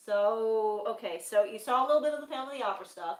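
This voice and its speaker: At a fairly quick pace, a woman talks with a fairly high pitch and ordinary pitch variation. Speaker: streamer chatting with sister-in-law. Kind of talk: casual chat. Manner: mumbling.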